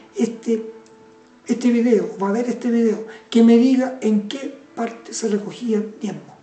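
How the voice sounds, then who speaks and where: In a room with audible echo and noticeable background noise, a woman speaks fairly slowly in a fairly high voice. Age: 70s. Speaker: preacher. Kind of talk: sermon. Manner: halting.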